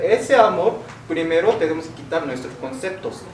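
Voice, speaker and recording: A man's fairly high voice with noticeable background noise and audible room echo. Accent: Korean. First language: Korean (speaking Spanish). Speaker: philosophy teacher. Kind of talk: lecture.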